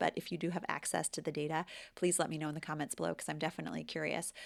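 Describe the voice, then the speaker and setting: A woman's voice with an American accent, vocal fry and ordinary pitch variation. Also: very clean recording, silent background. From United States. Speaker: English teacher and language vlogger. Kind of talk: vlog monologue. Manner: conversational.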